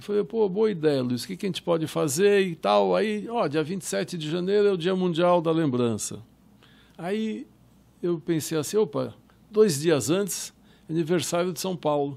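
With lively intonation, a man speaks at a high pitch and a fairly slow pace. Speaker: filmmaker and Holocaust historian. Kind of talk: interview.

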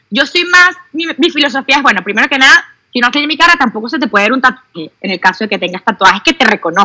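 A woman speaks in a raised, projected voice at a very fast pace, her high pitch making very wide swings. The sound is dry and close, with no echo. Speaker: doctor. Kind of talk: casual chat.

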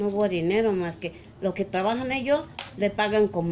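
With lively intonation, this woman's voice stays at a medium pitch. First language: Mixtec (speaking Spanish). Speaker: market vendor. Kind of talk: interview. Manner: halting.

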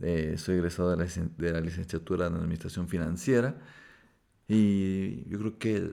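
On a very clean recording with a silent background, a man speaks at a fairly slow pace with a very deep, low pitch and a dark, mellow tone. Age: 20s. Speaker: podcast co-host. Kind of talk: casual chat. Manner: halting.

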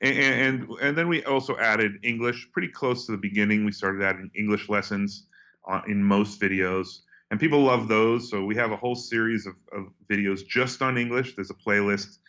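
In a plain, everyday voice, a man with an American accent speaks fairly low and fairly quickly with ordinary pitch variation. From United States. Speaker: journalist, travel YouTuber and author. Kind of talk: interview.

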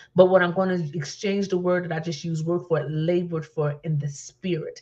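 In an American accent, a woman talks at a fairly quick pace, somewhat breathy and fairly low in pitch. Her intonation stays monotone and flat over a quiet background. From New Jersey. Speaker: minister and talk show host. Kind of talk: testimony.

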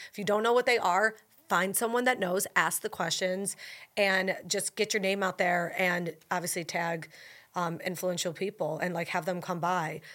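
On a very clean recording with a silent background, a woman with an American accent talks at a moderate pace in a medium pitch, her tone bright and sharp and her intonation fairly even. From Buffalo, New York. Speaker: food influencer, former TV anchor. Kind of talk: casual interview chat.

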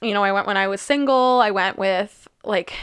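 In a very clean recording with a silent background, a woman with a plain, everyday voice speaks at a moderate pace, her medium pitch carrying fairly even intonation. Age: 20s. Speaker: podcast co-host. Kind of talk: casual chat.

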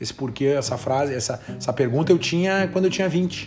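A man speaks in a plain, everyday voice at a fairly high pitch. His pace is fairly quick and his intonation lively. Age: 40s. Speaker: podcast host. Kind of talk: casual chat.

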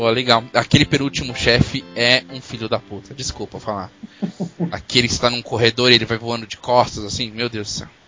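Music plays behind a man speaking at a medium pitch and a fairly quick pace. His intonation is fairly even, though his loudness swings widely. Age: 30s. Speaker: podcast host. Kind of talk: casual chat.

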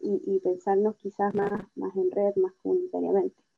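A woman speaks at a medium pitch in a dark, mellow tone, with a dry, close sound and no echo. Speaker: feminist activist. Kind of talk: interview.

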